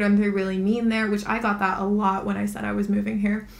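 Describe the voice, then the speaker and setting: A monotone, flat delivery with audible room echo. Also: woman. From Hawaii. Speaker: podcast co-host. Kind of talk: casual chat.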